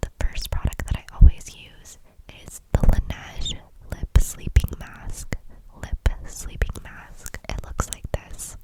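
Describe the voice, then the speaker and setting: A woman whispers at a very slow pace, her loudness swinging widely. Noticeable background noise is present. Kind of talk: ASMR makeup tutorial, get-ready-with-me. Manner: whispered, soft, relaxing.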